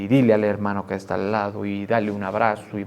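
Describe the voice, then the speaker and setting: A booming, put-on character voice from a man, fairly low in pitch, very fast and monotone with flat intonation, over clear background noise. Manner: emphatic, exhorting.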